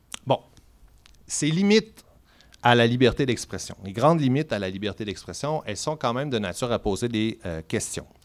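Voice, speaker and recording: Long, frequent pauses break up a man's moderate pace. His medium-pitched voice has lively intonation. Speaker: law professor. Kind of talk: lecture.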